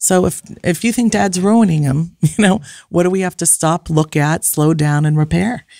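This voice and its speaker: A woman speaks with a dark, mellow tone. The background is quiet. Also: fairly low pitch for a woman, ordinary pitch variation, moderate pace, dry sound with no echo. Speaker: family counselor and author; guest. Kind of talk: casual chat. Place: studio. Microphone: studio mic.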